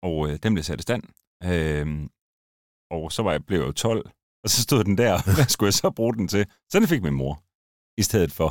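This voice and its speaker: In a very clean recording with a silent background and a dry, close sound free of echo, a man with a very deep, low voice speaks fairly slowly and with lively intonation, leaving long, frequent pauses. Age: 40s. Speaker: former drift driver and car YouTuber. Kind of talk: casual interview chat. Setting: studio.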